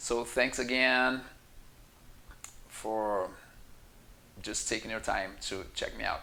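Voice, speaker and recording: A man with a Brazilian Portuguese accent speaks very slowly at medium pitch, using long, frequent pauses. His tone is bright and sharp, and his intonation fairly even. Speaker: yoga teacher. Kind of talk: casual talk to camera.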